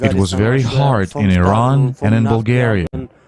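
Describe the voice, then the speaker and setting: A man talking at a fairly slow pace over background music. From Afghanistan. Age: 20s. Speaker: refugee. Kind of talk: testimony.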